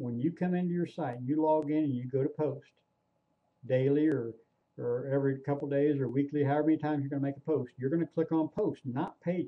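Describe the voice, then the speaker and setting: A man with a normal speaking voice talks at a fairly quick pace, his pitch fairly high and his intonation fairly even. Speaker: online marketing trainer. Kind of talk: screen-recorded tutorial. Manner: casual, repetitive with fillers.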